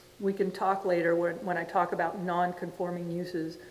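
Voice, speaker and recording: A woman's medium-pitched voice at a moderate pace, with audible room echo and noticeable background noise. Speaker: city planning staff presenting code amendments. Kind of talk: public meeting presentation. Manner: loud.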